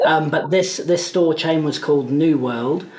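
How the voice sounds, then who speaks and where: With audible room echo and noticeable background noise, a man speaks at a fairly high pitch and a fairly slow pace, his intonation fairly even. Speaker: mortgage business executive. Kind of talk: interview.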